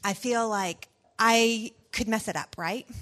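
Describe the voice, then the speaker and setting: Over a quiet background, a woman talks with a Southern US accent. Her pitch sits fairly high. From US South. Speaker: pastor's wife and mother. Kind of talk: personal talk to parents.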